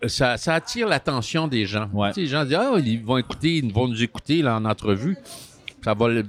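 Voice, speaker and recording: Against noticeable background noise, a man with a medium pitch speaks at a fairly quick pace with lively intonation. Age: 70s. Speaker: veteran actor. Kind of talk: interview.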